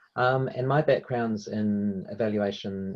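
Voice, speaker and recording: In a New Zealand accent, a man speaks at a fairly low pitch with ordinary pitch variation. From New Zealand, Hamilton. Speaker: evaluation consultant, workshop presenter. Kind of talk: webinar presentation.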